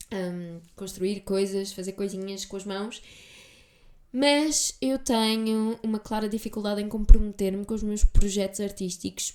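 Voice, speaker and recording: In a European Portuguese accent, a woman speaks at medium pitch and a fairly slow pace with fairly even intonation. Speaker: podcast host. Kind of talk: solo podcast monologue. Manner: casual, chatty.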